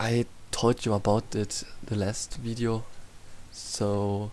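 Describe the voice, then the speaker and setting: In a German accent, a man talks at a medium pitch with monotone, flat intonation. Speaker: YouTube storyteller. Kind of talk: casual outro. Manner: halting.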